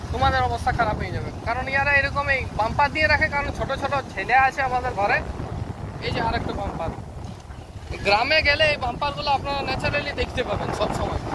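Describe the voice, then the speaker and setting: Amid noticeable background noise, a man talks at an extremely high pitch with ordinary pitch variation. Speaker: travel vlogger. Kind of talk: casual vlog talk to camera while riding. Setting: outdoors, on a moving vehicle.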